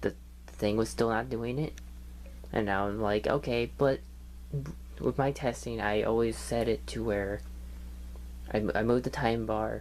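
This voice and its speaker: The speaker mumbles at a moderate pace. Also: man. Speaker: gaming youtuber. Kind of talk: casual vlog rant. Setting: home computer desk. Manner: mumbling.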